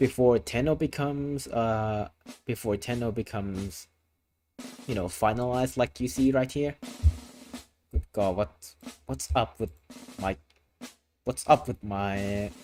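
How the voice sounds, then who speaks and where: With music in the background, a man at medium pitch speaks at a fairly slow pace with lively intonation and long, frequent pauses. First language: Thai. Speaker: vtuber streamer. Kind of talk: live stream casual chat. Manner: repetitive, stammering.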